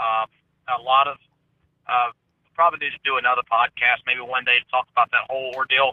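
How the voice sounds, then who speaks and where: A man's medium-pitched, monotone, flat delivery in a Southern US accent, with long, frequent pauses. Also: fairly quick pace. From US South. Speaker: conspiracy theory commentator. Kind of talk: casual chat.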